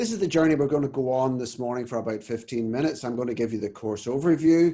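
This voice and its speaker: A man's very fast, dark, mellow voice with an Irish accent, medium in pitch with ordinary pitch variation. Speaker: family doctor and course leader. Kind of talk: webinar presentation. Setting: video call webinar.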